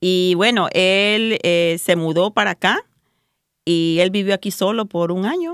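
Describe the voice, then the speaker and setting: A normal speaking voice comes at a fairly slow pace with fairly even intonation, on a very clean recording with a silent background and a dry, close sound with no echo. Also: woman, medium pitch for a woman. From El Salvador. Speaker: pro-life volunteer. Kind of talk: testimony.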